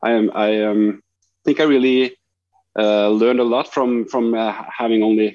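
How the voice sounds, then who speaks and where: A man with a Norwegian accent talks at a moderate pace in a medium pitch, with long, frequent pauses. His intonation is monotone and flat, and his loudness very even. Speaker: street photographer. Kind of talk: interview. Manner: halting, many fillers.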